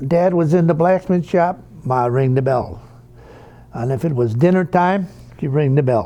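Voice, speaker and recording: A man talks with a Chicago accent. His pace is fairly slow, with ordinary pitch variation. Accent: Chicago-area American. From Worth, Illinois (Chicago suburbs). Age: 80s+. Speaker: longtime resident. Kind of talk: interview reminiscence.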